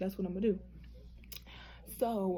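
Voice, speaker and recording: Somewhat breathy and dark, mellow in tone, a woman's medium-pitched voice moves with fairly even intonation. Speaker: nursing student vlogger. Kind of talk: casual vlog. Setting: hotel room. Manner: fast.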